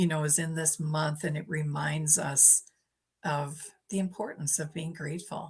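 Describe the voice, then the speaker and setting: A woman speaks at a moderate pace in a very deep, low pitch. Her voice is somewhat breathy, with fairly even intonation. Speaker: mindset coach. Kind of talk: casual interview chat. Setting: live video call. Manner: calm.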